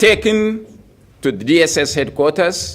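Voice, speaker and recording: Speaking at a very slow pace with vocal fry, a man is heard amid audible room echo. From Nigeria. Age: 70s. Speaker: opposition politician. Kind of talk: press conference speech. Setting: press conference.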